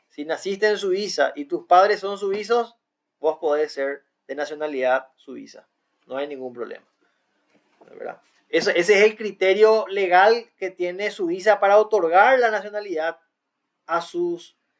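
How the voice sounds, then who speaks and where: A man talks at a fairly slow pace in a high pitch with ordinary pitch variation. His loudness swings widely, and long pauses come often. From Paraguay. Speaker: law student presenter. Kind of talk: class presentation. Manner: explanatory, casual.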